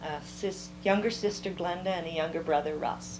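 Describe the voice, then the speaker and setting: A woman with an American accent in a flat monotone at a moderate pace, with noticeable background noise and audible room echo. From US Midwest, Elgin, Iowa. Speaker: oral history interviewee. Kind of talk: oral history interview. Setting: at home.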